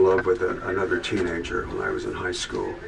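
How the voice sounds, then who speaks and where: Noticeable background noise runs throughout. A man is speaking. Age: 70s. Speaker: musician sharing life story. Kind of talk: testimony. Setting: video booth. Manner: halting, many fillers.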